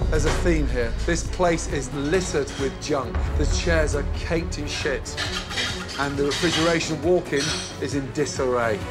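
A man talks at a moderate pace. Loud music plays behind him. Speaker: chef host. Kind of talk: reality TV confrontation. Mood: angry, disgusted scolding. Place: kitchen. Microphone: lapel.

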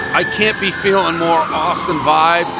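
Clear music plays in the background while a man talks. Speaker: food reviewer. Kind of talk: casual review commentary. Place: street.

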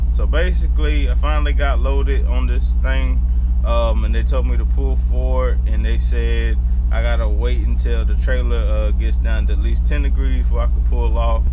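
Fairly quick speech from a man, music playing underneath. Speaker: truck driver vlogger. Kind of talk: casual vlog chat. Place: car. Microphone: phone near.

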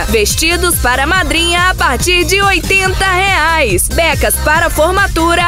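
Over clear background music, the speaker talks at a very slow pace in a dry sound with no echo. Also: woman. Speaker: voice-over announcer. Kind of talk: radio commercial read. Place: studio. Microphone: studio mic.

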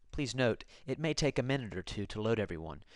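Here is a man with an ordinary speaking voice and lively intonation. He keeps a moderate pace against a quiet background. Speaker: university staff narrating a tutorial. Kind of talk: tutorial.

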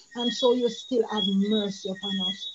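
The pace is very slow. Background noise is noticeable. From Jamaica. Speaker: church elder. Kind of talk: prayer. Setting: video call. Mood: earnest, devout. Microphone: video call.

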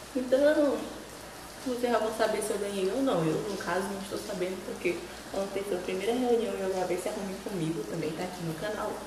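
With audible room echo and noticeable background noise, a woman speaks. She goes at a fairly quick pace with ordinary pitch variation. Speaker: beauty vlogger. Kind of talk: casual vlog chat. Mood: excited, cheerful. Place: bathroom. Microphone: phone near.

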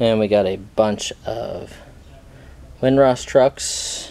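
Fairly low-pitched male voice, slightly mellow in tone with vocal fry, over faint background noise.

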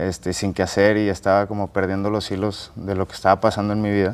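A man with a plain, everyday voice and a fairly low pitch. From Monterrey, northern Mexico; Mexico. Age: 20s. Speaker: barbecue cook and content creator; content creator. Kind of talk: interview. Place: studio.

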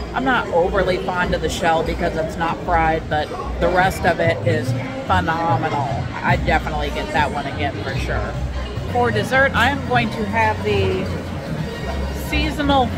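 Loud music plays in the background as a woman talks at a moderate pace with long, frequent pauses. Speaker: food vlogger. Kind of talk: casual vlog chat, food review. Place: bar. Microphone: phone near.

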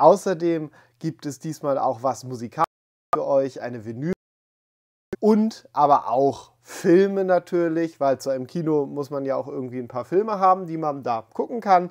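Lively intonation from a man, delivered at a moderate pace. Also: quiet background. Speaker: collector channel host. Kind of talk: casual vlog intro. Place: home room. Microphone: lapel.

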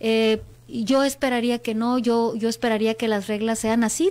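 A woman's moderate-paced speech. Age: 40s. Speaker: politician. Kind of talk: interview. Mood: earnest, reflective. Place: studio. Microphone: studio mic.

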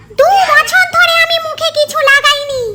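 A squeaky, put-on character voice at an extremely high pitch swings very widely in pitch. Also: moderate pace. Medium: comedy sketch.

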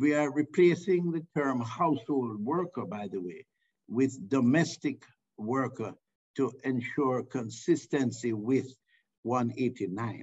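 Very slow delivery with ordinary pitch variation over a quiet background. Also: man, medium pitch for a man. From Jamaica. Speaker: government minister. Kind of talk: formal speech on online panel. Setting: video call. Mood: formal, proud. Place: office. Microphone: video call.

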